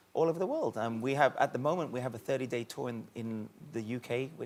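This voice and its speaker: A very fast pace with ordinary pitch variation, in a British accent. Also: man. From Caribbean. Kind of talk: TV talk show interview.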